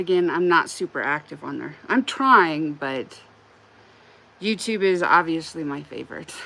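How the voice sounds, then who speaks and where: A woman with a Wyoming accent speaks at a moderate pace in a bright, sharp tone, her fairly low pitch carrying lively intonation and her loudness swinging widely. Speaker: crochet livestreamer. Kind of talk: casual livestream chat while crocheting. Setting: live stream. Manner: casual, frequent filler words.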